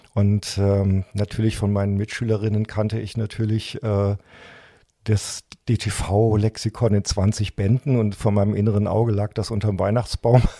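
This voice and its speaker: A man talks at a moderate pace with a fairly low pitch and monotone, flat intonation. The very clean recording has a silent background and a dry, close sound with no echo. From Germany, Saarland. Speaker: journalist and activist. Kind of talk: interview conversation.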